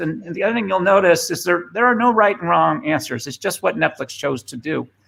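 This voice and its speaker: A bright, sharp tone in a Boston accent, with lively intonation at a fairly quick pace. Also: man. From Boston, US. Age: 50s. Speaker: former tech executive and speaker. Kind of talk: presentation. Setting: remote video session. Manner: halting, many fillers.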